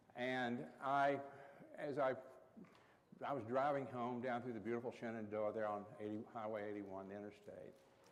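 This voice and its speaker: A man with an American accent talks at a moderate pace and medium pitch, with long, frequent pauses. The room echo is audible. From East Tennessee, Appalachia (Carter County). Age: 60s. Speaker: Episcopal priest. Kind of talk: workshop talk.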